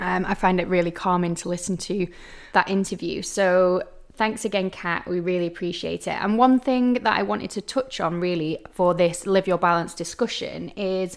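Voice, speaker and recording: The recording is very clean, with a silent background. It holds a plain, everyday voice at a moderate pace with ordinary pitch variation. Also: woman, medium pitch for a woman. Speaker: podcast host. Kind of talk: solo podcast talk.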